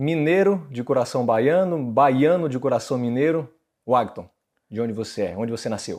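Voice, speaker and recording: In an ordinary speaking voice, a man talks at a moderate pace with a medium pitch. His intonation is lively, and the background is quiet. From Brazil, same hometown as guest. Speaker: interview host. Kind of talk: interview.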